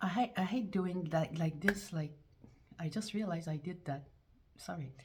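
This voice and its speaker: A woman at a fairly low pitch and moderate pace, with noticeable background noise. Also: ordinary pitch variation. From France. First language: French. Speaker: YouTuber. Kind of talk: casual monologue vlog. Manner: halting, with repetitions and restarts; animated.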